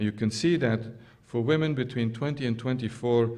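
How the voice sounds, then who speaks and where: A man talks at a fairly quick pace and a medium pitch with ordinary variation, and audible room echo can be heard. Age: 60s. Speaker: scientist. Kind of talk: lecture. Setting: stage with audience. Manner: halting, many fillers.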